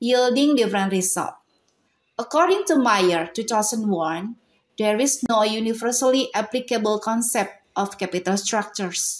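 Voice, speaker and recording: A woman's fairly high-pitched voice with an Indonesian accent. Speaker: university student presenter. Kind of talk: academic presentation. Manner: halting.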